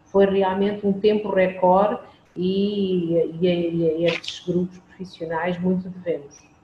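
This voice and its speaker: Over noticeable background noise, a woman speaks very slowly at a medium pitch in a monotone, flat voice. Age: 50s. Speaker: hospital lab coordinator. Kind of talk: interview.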